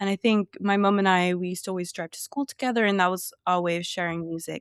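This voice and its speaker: Recorded dry and close with no echo, a woman with an English accent talks at a fairly quick pace and a medium pitch. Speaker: sociology graduate, book content creator. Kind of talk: casual podcast interview.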